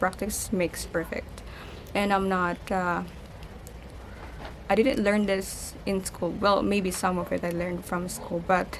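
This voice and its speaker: In a Filipino accent, a woman talks fairly slowly at medium pitch with fairly even intonation. Room echo is audible. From Philippines. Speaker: lifestyle vlogger. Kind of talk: casual vlog. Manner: halting.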